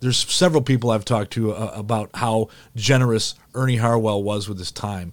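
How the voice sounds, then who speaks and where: A man's plain, everyday voice, medium in pitch, with an American accent and a fairly quick pace, on a very clean recording with a silent background. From Detroit, Michigan. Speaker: podcast host, former radio broadcaster. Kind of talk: interview podcast.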